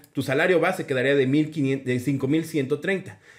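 A man talks at a very slow pace. The background is quiet. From Mexico City. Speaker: teacher and education YouTuber. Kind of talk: tutorial. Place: home room. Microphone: webcam.

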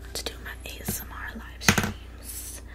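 There is noticeable noise in the background. Over it, a woman talks. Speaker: ASMR creator. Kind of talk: casual makeup tutorial talk to camera. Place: home room. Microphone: studio mic.

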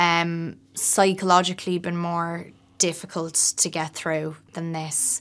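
The pace is very slow. The speaker is a woman. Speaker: actress. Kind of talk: interview answer. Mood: reflective, lightly amused. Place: hall.

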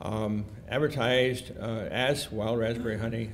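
Against light background noise, a man talks with a Midwestern American accent. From Detroit, Michigan. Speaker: retired entomology professor and beekeeper; retired entomology professor. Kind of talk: keynote lecture. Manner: hesitant, many fillers. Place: hall. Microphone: podium.

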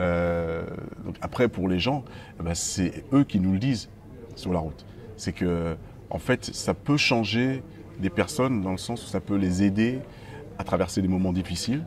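A man's very deep, low voice, with ordinary pitch variation at a moderate pace, over light background noise. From mainland France, Guadeloupean family. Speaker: musician, band frontman. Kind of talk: interview.

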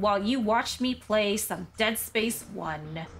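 Over music in the background, a woman with a fairly high pitch speaks at a very slow pace with lively intonation. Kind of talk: comedic game parody voiceover. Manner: natural own voice, not lowered.

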